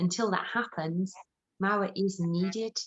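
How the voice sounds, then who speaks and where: A woman at a medium pitch with a Birmingham accent. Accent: Brummie. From Birmingham, England. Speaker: actor and theatre producer. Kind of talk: interview answer.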